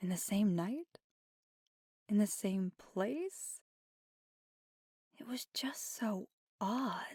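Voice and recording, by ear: Using a put-on character voice, a woman speaks at a very slow pace with long, frequent pauses, lively intonation and a dark, mellow tone with a slightly husky edge. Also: medium pitch for a woman, dry, close sound with no echo, very clean recording, silent background.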